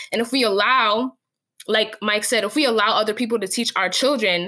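A woman talks at a moderate pace in a fairly high voice. Her tone is bright and sharp, and her intonation fairly even. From New Jersey, Jersey City. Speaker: education founder. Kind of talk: interview.

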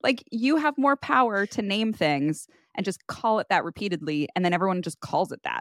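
A woman in a Valley Girl accent speaks at a medium pitch and moderate pace with very wide pitch swings, recorded very cleanly against a silent background with a dry, close sound and no echo. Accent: Valley Girl cadence. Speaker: podcast co-host. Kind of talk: casual chat. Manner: laughs often.

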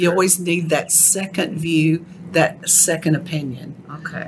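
A woman with a Texan accent, fairly low pitched and flat in a monotone, at a fairly slow pace over noticeable background noise. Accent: Texan, noticeable twang. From Texas. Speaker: ghostwriter. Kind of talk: casual interview chat.

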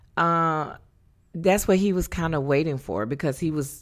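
Speaking with a Southern US accent, a woman shows ordinary pitch variation on a very clean recording with a silent background. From North Carolina. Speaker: divorced mother of three. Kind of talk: interview. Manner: halting.

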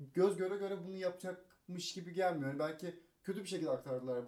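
A man talks very fast at a high pitch with ordinary pitch variation. His tone is dark and mellow. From Turkey, Kocaeli. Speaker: radio staffer and film fan. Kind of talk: casual chat. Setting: hotel room.

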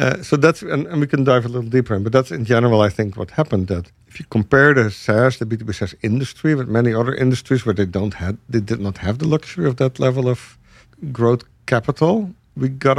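Lively intonation from a man with a Dutch accent, medium pitch and a fairly quick pace against a quiet background. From Netherlands. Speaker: software executive and podcast co-host. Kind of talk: casual business discussion.

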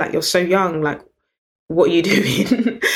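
A woman with a British accent speaks at a fairly quick pace in a fairly low pitch. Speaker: business founder and CEO. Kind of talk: interview conversation.

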